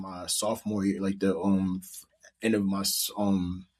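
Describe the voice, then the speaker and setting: Monotone, flat intonation from a fairly low-pitched man with an American accent, very clean recording with a silent background. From New Jersey, Monmouth County. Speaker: rapper. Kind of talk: casual chat.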